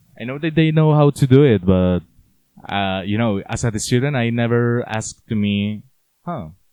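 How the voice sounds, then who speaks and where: A man with a Spanish accent, medium pitch and lively intonation. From Colombia, Cali. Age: 20s. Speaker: university student. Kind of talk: casual interview. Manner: halting.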